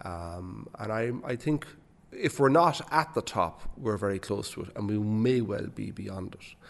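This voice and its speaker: A man speaks at a fairly low pitch with lively intonation. His loudness swings widely. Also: fairly slow pace. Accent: Waterford Irish. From Ireland, Waterford. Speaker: bank chief executive. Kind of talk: interview. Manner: hesitant, many fillers and repetitions.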